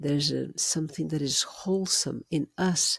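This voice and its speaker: This woman's very deep, low voice carries vocal fry at a moderate pace, recorded dry and close with no echo. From Brazil. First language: Portuguese. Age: 70s. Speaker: educator in prenatal education. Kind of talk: interview conversation.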